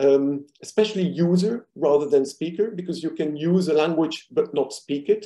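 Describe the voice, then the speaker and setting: With a non-native accent, a man talks at a moderate pace in a dark, mellow tone and a fairly high pitch. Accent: foreign accent in English. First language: not English. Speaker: linguistics professor. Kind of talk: academic presentation. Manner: many filler hesitations.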